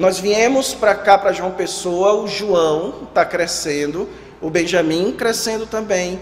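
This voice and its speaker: With a Ceará accent, a man talks very slowly at a high pitch with ordinary pitch variation, amid audible room echo and noticeable background noise. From Ceará, northeastern Brazil. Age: 30s. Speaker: pastor. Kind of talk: sermon. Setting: church.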